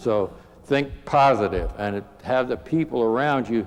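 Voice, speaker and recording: At a moderate pace, a man speaks while noticeable background noise is present. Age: 80s+. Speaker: retired air force general, crash survivor. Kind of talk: motivational safety talk with humor. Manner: halting, many fillers.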